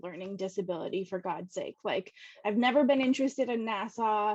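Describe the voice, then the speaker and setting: A woman's ordinary speaking voice with an American accent, fairly high in pitch, fairly quick, with lively intonation and a dry, close sound with no echo. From US West Coast, San Diego. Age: 30s. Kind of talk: interview, personal story. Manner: casual, many fillers.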